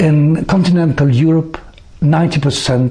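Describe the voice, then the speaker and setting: A man talks over noticeable background noise. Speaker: former UN translator and psychologist. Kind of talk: prepared talk to camera. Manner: formal.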